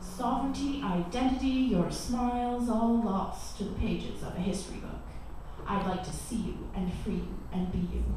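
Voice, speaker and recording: Recorded with strong room echo and noticeable background noise, a woman speaks at a moderate pace. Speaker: spoken word poet. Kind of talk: spoken word poetry performance. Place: cafe.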